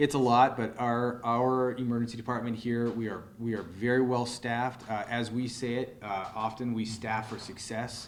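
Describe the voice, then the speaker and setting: Speech at a moderate pace, with monotone, flat intonation. Audible room echo surrounds it. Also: man, medium pitch for a man, hardly any pauses. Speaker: emergency room physician. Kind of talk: press conference Q&A. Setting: press conference in hospital. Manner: loud.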